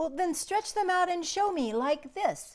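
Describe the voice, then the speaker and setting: A woman uses a put-on character voice that is squeaky and extremely high in pitch. Her pace is moderate. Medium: read story. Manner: taunting, boastful.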